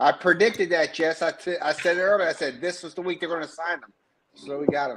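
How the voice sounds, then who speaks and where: At a very fast pace, a man with an East Coast US accent talks in a high pitch with fairly even intonation. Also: big swings in loudness. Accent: East Coast American. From US East Coast, Baltimore, Maryland. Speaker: Navy veteran, football fan joining stream. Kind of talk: casual chat.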